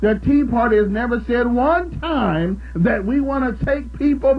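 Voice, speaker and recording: Amid noticeable background noise and audible room echo, a man speaks at a moderate pace with an extremely high pitch and an animated tone. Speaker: radio talk show host. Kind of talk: call-in talk radio.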